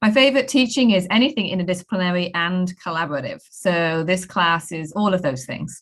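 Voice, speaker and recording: Fairly quick, lively speech from a woman with a British accent, medium-pitched with hardly any pauses. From UK. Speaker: professor. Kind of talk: program overview presentation.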